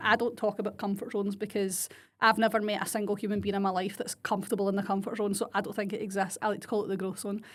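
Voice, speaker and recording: A woman is speaking. She has a strong Glasgow accent. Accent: strong Scottish (Glaswegian). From Scotland, Glasgow area (Blantyre). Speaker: podcast host and business coach. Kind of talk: solo podcast monologue. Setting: home desk. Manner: casual, mixes Scots and English.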